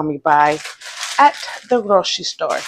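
Noticeable background noise sits behind a woman whose voice sounds dry, with no echo. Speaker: home cooking vlogger. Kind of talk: casual vlog chat. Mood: cheerful, relaxed. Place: kitchen. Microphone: lapel.

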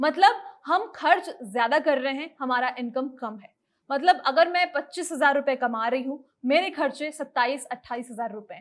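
The speaker goes at a fairly slow pace, with lively intonation and big swings in loudness. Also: woman, high pitch for a woman. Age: 20s. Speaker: personal finance presenter; presenter. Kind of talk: educational explainer video. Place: studio.

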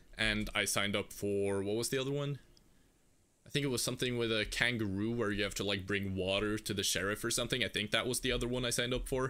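In a Norwegian accent, the speaker talks very fast with a bright, sharp, animated tone and ordinary pitch variation, recorded very cleanly against a silent background. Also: man. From Norway. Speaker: gaming streamer. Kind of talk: live gameplay stream chat. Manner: casual, animated.

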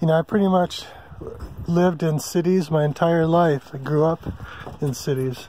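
A man with a fairly high pitch speaks in a relaxed tone at a moderate pace, with long, frequent pauses. His intonation is fairly even and his loudness very even, the sound dry with no echo over light background noise. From California (San Diego); California. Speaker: RV travel vlogger. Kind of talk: casual vlog monologue. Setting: outdoors at a campsite in the forest. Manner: relaxed with many fillers (um, uh). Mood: relaxed, content. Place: open country. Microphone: phone near.

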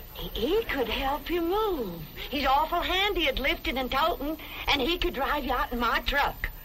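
Amid noticeable background noise, a woman speaks in a raised, projected voice at a moderate pace. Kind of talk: scripted sitcom dialogue.

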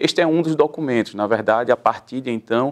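A man speaks with a Pernambuco accent over a quiet background. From Pernambuco, Brazil. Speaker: public defender, human rights council president; public guest. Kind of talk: interview. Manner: formal. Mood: calm, measured, explanatory. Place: studio. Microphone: lapel.

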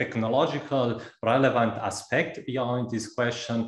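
A man speaks at a moderate pace with audible room echo. The background is quiet. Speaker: speaker. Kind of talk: lecture. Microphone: video call.

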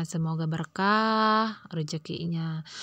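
A woman speaks very slowly in a fairly low voice. The recording is very clean, with a silent background. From Indonesia, Pandeglang, Banten. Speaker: vlogger, housewife. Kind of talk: casual vlog narration. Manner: chatty, many fillers.

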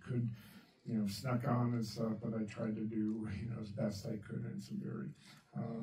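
There is audible room echo on the recording. A man talks at a moderate pace. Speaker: speaker. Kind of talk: presentation talk. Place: meeting room.

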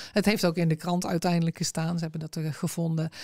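In a very clean recording with a silent background and a dry, close sound with no echo, a woman speaks very fast. Her fairly low voice has a dark, mellow tone and flat, monotone intonation. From North Brabant, southern Netherlands (Berkel-Enschot, Tilburg). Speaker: amputee and accessibility advocate. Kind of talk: interview conversation. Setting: studio.

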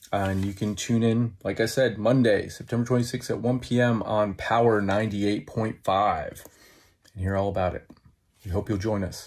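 A fairly low-pitched, somewhat breathy male voice at a fairly slow pace, with fairly even intonation, in a very clean recording with a silent background. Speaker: film director and writer. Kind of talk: casual interview chat. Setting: radio interview.

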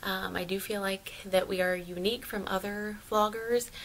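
A woman speaks at a fairly slow pace. Light background noise is present. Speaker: family vlogger. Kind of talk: casual vlog chat. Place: home room.

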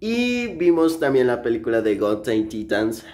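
A man is talking. His pace is fairly slow. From Mexico, Chiapas. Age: 20s. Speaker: vlogger. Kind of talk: casual vlog narration. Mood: relaxed, friendly. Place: home room. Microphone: phone near.

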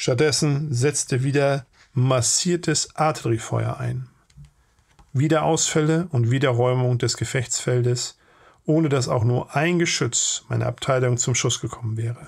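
Here a man talks at a fairly slow pace. His voice is somewhat breathy. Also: medium pitch for a man, ordinary pitch variation. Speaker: channel host and narrator. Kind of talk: audiobook reading of a war memoir.

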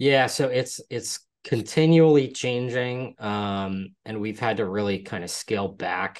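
Here is a man with a normal speaking voice and an American accent. He talks at a fairly slow pace with ordinary pitch variation. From Pennsylvania, Hershey; Pennsylvania. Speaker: real estate investor; guest. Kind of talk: interview. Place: home room. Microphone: video call.

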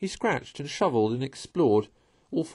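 An unforced reading voice is heard. It carries lively intonation.

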